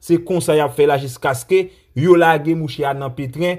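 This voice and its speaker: At a fairly slow pace, a man with a fairly high pitch speaks in a very clean recording with a silent background. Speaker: Haitian news commentator. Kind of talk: news commentary. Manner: animated.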